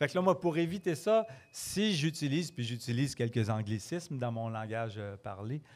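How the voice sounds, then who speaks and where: This man has a slight Quebec accent and a medium pitch. His voice makes very wide pitch swings. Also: moderate pace. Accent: Quebec French, mild. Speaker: storyteller. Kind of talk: casual interview. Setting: pub with live audience.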